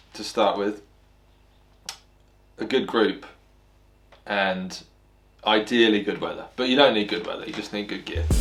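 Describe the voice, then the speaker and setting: With an English accent, a man talks in a fairly low pitch at a moderate pace, with ordinary pitch variation, big swings in loudness and long, frequent pauses. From Spain (English parents). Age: 30s. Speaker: bikepacker, brand ambassador. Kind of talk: interview monologue. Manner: relaxed, casual with fillers.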